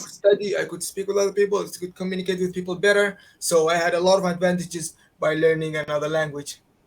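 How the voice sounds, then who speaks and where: Speaking very fast with an Arabic accent, a man keeps a high pitch and a monotone, flat intonation while his loudness swings widely. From Qatar. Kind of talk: interview answer.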